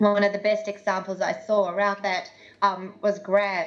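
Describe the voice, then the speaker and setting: The woman's voice sits at a medium pitch. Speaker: tech industry speaker. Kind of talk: presentation. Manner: fast.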